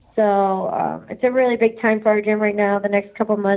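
With flat, monotone intonation, a woman talks at a fairly high pitch. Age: young. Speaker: podcast guest, fighter at a gym.

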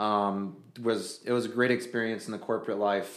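Audible room echo surrounds a man speaking with an American accent at a fairly quick pace. His fairly low voice stays monotone and flat. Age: 30s. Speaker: fishing sales rep and guide. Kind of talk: casual chat.

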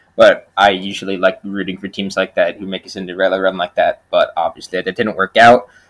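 A man talking at a fairly quick pace with hardly any pauses and big swings in loudness, in a dry, close sound with no echo. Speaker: podcast co-host. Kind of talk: casual chat.

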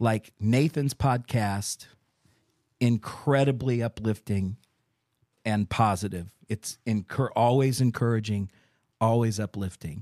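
In a very clean recording with a silent background and a dry, close sound with no echo, a man with a medium pitch and a dark, mellow tone speaks at a fairly slow pace, with ordinary pitch variation and long, frequent pauses. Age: 40s. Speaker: associate pastor and podcast host. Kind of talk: casual chat.

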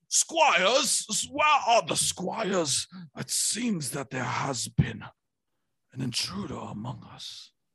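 A raspy put-on character voice at a very slow pace. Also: man, high pitch for a man. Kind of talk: archaic, regal. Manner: pompous, commanding.

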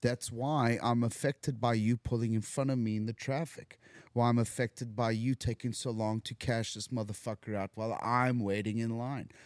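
A man speaks at a moderate pace in a medium pitch, with a South African accent and an animated tone, hardly pausing. The recording is very clean, with a silent background. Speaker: recovering addict, actor. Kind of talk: casual chat. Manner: animated, joking.

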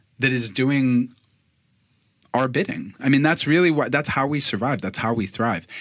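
In a very clean recording with a silent background, a man with an American accent speaks at a medium pitch and moderate pace, with ordinary pitch variation and long, frequent pauses. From Boston. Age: 30s. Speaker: podcaster. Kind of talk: casual chat.

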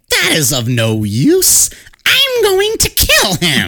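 A put-on character voice at a very slow pace. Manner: menacing.

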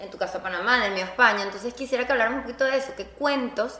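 A high-pitched woman at a very fast pace, with ordinary pitch variation and noticeable background noise. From Venezuela. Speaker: podcast co-host. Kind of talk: casual chat. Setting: studio with small audience.

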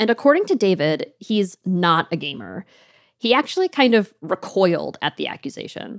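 A woman speaks at a moderate pace and medium pitch, her intonation lively and touched with vocal fry. The recording is very clean with a silent background, and the sound is dry and close with no echo. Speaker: audio producer and co-host. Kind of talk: scripted narration.

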